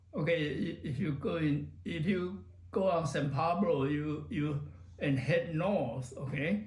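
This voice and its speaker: In a room with audible echo, a man speaks very slowly in a somewhat breathy, fairly high voice with very wide pitch swings. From Taiwan. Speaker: retired computer professional. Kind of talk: oral history interview. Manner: halting, many fillers.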